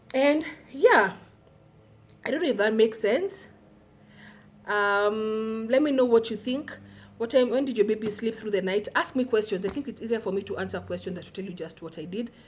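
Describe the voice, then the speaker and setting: A woman with a Kenyan accent speaks at a fairly high pitch with ordinary variation. She leaves long, frequent pauses, and her loudness swings widely. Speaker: parenting vlogger. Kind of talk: casual vlog talk to camera. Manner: fast.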